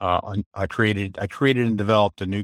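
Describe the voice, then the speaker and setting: On a very clean recording with a silent background, a man with an American accent speaks at a moderate pace with fairly even intonation, the sound dry and close with no echo. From Maryland. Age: 70s. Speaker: retired corporate trainer and substitute teacher. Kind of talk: interview. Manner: halting.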